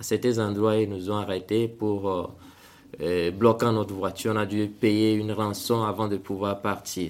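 At a fairly slow pace, a man speaks in a fairly low voice with monotone, flat intonation. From Togo. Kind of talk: interview testimony.

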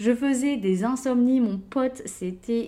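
This woman talks at a fairly slow pace in a high voice, with ordinary pitch variation. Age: 20s. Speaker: podcast host. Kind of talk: casual monologue. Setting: home recording at computer.

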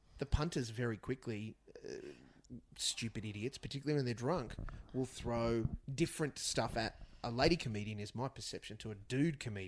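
A man with an Australian accent, medium pitch, ordinary pitch variation and a fairly quick pace. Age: 40s. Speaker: podcast host. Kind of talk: casual chat.

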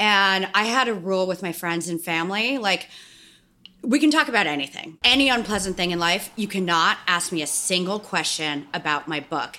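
A woman with an American accent and a plain, everyday voice, medium in pitch, with lively intonation at a moderate pace in a very clean recording over a silent background. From New York. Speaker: political communications strategist. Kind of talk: interview.

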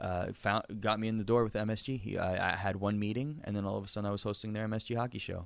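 A man with a Canadian accent talks in an ordinary speaking voice, fairly low in pitch with fairly even intonation, on a very clean recording with a silent background. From Canada. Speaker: wrestling announcer. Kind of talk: casual interview.

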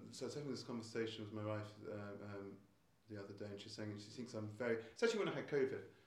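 A very fast delivery in a southern English accent, fairly even in intonation, with big swings in loudness and audible room echo. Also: man, fairly low pitch for a man. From southern England (Surrey, Essex). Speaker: school headmaster. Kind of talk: interview. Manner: halting, with frequent repetitions.

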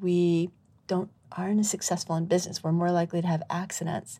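In a very clean recording with a silent background, a woman talks at a fairly quick pace in a fairly low, somewhat breathy voice with a dark, mellow tone. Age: 50s. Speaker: midwife and medical doctor. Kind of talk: interview conversation. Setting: live recording venue.

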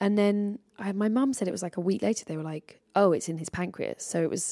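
Talking at a very fast pace, a woman with a southern English accent has a medium pitch, a dark, mellow tone, and ordinary pitch variation. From England. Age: 30s. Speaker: comedian and podcast host. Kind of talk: casual interview.

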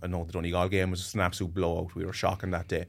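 In a Cork accent, a man talks very fast. The recording is very clean, with a silent background. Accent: Cork Irish. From Cork, Ireland. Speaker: GAA podcast guest pundit. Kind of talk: casual chat.

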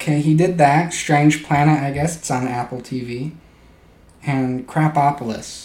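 A man at a fairly slow pace, somewhat breathy, with fairly even intonation. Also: fairly high pitch for a man. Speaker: podcast co-host. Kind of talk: casual comedic banter.

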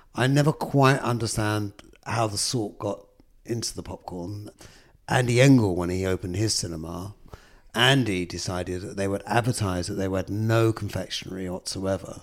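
Speaking in a London accent, a man talks at a moderate pace with a fairly low pitch and ordinary pitch variation. The recording is very clean and the background silent. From London, Islington. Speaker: film producer. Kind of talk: interview. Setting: office boardroom.

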